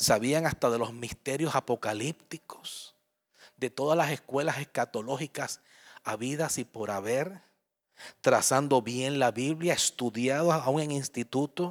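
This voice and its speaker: A man at a medium pitch, animated and warm in tone, fairly slow with ordinary pitch variation, in a dry, close sound with no echo and a very clean recording with a silent background. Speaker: pastor. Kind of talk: sermon. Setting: church. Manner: warm, conversational, with frequent audience-directed questions.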